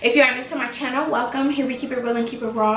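Pitch varies in an ordinary way, with audible room echo and light background noise. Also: woman. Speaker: vlogger. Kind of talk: casual talk to camera. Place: home room. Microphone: phone near.

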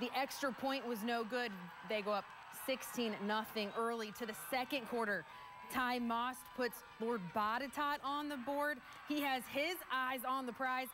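A woman with a high voice speaks very slowly, with long, frequent pauses and fairly even intonation. Her loudness stays very even over music in the background. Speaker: sports anchor. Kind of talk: TV sports highlights narration. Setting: studio.

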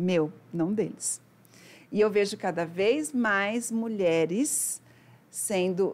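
A woman speaks with ordinary pitch variation. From Brazil, São Paulo state (Araçatuba); São Paulo state, Brazil. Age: 40s. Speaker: financial mentor; podcast guest. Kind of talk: interview conversation. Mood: warm, animated, often smiling. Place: studio. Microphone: studio mic.

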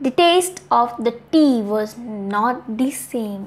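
Lively intonation at a slow pace. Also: woman, fairly high pitch for a woman.

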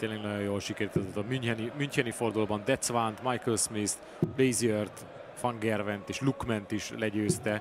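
At a moderate pace, this ordinary speaking voice keeps a fairly even intonation. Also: man, fairly low pitch for a man. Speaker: darts commentator. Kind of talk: live commentary.

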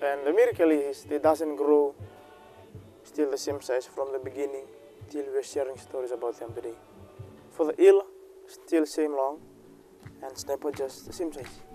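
A man talks at a moderate pace with fairly even intonation and long, frequent pauses, in a dry sound with no echo and faint music in the background. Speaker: local villager guide. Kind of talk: storytelling to camera. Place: waterside.

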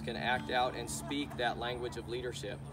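Loud music plays in the background. A man talks over it at a moderate pace. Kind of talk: explanatory talk to camera. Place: farm machine. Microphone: camera far.

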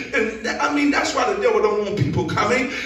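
A man's voice with very wide pitch swings, audible room echo and light background noise. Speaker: preacher. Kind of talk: sermon. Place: church.

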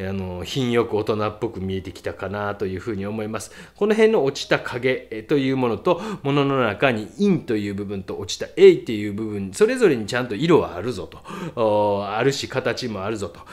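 Speaking at a moderate pace and medium pitch, a man shows ordinary pitch variation and big swings in loudness. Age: middle-aged. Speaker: painter and art critic. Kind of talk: casual critique of viewers' artworks, read-out submissions. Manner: casual, rambling, self-deprecating.

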